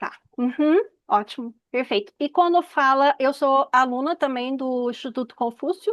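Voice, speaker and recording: In a dry, close sound with no echo, a woman speaks fairly slowly at a high pitch. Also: ordinary pitch variation. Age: 50s. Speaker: audience member asking questions, Chinese medicine teacher. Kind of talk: Q&A at an online information session.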